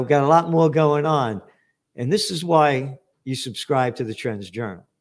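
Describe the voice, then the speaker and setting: In a New York accent, a fairly high-pitched man speaks at a moderate pace in an animated tone, with big swings in loudness. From New York, the Bronx. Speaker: podcast host and publisher. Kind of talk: interview.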